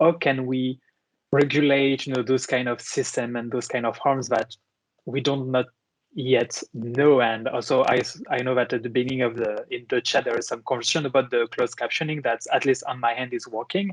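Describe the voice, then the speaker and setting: With a French accent, a man of medium pitch talks at a fairly quick pace with fairly even intonation, in a dry, close sound with no echo. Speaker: moderator, law professor. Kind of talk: online panel discussion. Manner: halting, with many fillers.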